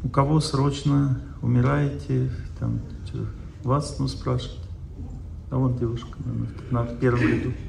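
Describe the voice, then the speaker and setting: A man with a fairly low voice speaks at a fairly slow pace, his pitch swinging very widely and broken by long, frequent pauses. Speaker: lecturer on health and spirituality. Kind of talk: seminar lecture with audience Q&A. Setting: stage with audience.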